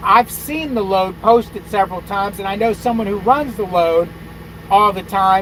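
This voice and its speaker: Noticeable background noise runs under this recording. A man with a high pitch speaks at a moderate pace. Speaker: truck driver youtuber. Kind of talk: casual livestream chat.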